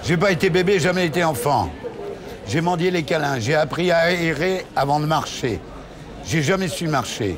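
Crowd noise sits in the background as a man talks at a fairly slow pace with ordinary pitch variation. His loudness stays very even. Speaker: interview guest, actor. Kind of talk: interview answer. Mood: reflective, emotional. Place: bar.

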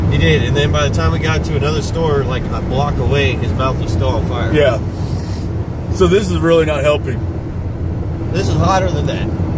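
A man talks at a fairly quick pace. Loud background noise runs under his voice. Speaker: vlogger. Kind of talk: casual vlog chat. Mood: joking, pained. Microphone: phone near.

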